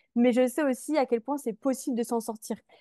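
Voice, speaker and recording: A woman speaks at a moderate pace in a dark, mellow tone with fairly high pitch and ordinary pitch variation. The sound is dry and close, without echo. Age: 20s. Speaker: mindset coach. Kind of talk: podcast interview, personal testimony.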